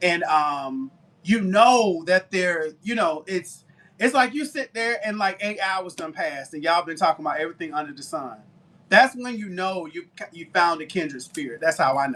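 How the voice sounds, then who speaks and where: A man with a Southern accent at a high pitch, bright and sharp in tone, lively intonation, moderate pace and big swings in loudness. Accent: Southern, twangy. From US South (Tuskegee, Alabama). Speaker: baker and live-stream seller. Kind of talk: casual chat on live selling stream. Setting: live stream. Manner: chatty.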